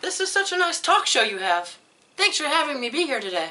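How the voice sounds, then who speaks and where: A woman uses a put-on character voice at a high pitch. She moves at a fairly quick pace with very wide pitch swings. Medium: comedy sketch.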